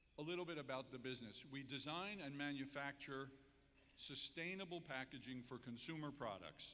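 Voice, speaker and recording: A fairly high-pitched man speaks at a fairly quick pace in a bright, sharp tone, with ordinary pitch variation. His loudness stays very even, and the room echo is audible. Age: 70s. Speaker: entrepreneur and keynote speaker. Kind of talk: public speech. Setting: convention center stage with audience.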